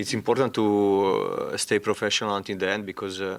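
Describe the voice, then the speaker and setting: Speaking with a non-native accent, a man keeps a monotone, flat intonation at a moderate pace. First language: not English. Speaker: football head coach. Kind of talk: press conference. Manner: halting, many hesitations.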